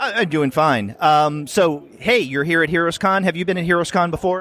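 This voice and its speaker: A man with an American accent and a high voice speaks at a moderate pace with ordinary pitch variation. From US South. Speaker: podcast host. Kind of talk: interview. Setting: convention floor.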